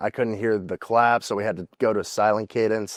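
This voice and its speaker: Speaking at a moderate pace, a man with an American accent uses a plain, everyday voice pitched fairly low. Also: quiet background. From Indiana. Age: 20s. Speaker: college football player. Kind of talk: interview.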